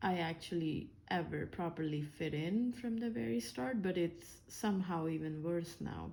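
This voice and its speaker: A woman speaks at a fairly slow pace in a dark, mellow tone with lively intonation. The room echo is audible. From India. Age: 30s. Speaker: engineer and vlogger. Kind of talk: personal vlog monologue. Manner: hesitant, many fillers.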